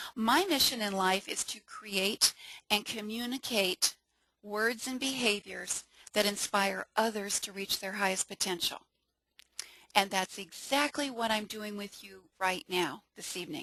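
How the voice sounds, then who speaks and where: With a bright, sharp, enthusiastic tone, a woman of medium pitch speaks at a fairly slow pace with ordinary pitch variation and big swings in loudness, in a dry, close sound with no echo. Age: 60s. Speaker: network marketing presenter. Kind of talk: webinar sales pitch. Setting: webinar.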